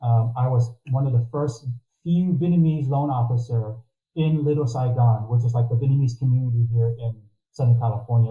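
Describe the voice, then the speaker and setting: This man has an American accent and a medium pitch. His voice is somewhat breathy, and he talks at a moderate pace. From Texas, Corpus Christi. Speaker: mortgage consultant. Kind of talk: interview.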